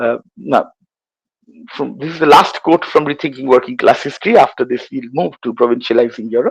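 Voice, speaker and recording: Here a man talks at a fairly quick pace. His pitch is medium, with ordinary pitch variation. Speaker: history professor. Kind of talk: lecture. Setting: online lecture. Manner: halting.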